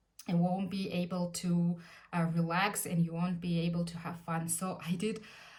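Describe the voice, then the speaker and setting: Speaking at a moderate pace with a Russian accent, a woman's fairly low, somewhat breathy voice carries audible room echo. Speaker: lifestyle vlogger. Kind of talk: casual tutorial. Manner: hesitant, frequent fillers.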